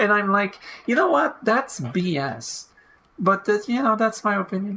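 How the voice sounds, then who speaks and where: The speaker is a woman with a non-native accent. She uses lively intonation. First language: not English. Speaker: video game let's player. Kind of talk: let's play commentary, reading game text aloud. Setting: home recording of gameplay. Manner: halting, stumbles over words. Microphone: low quality re-downloaded audio.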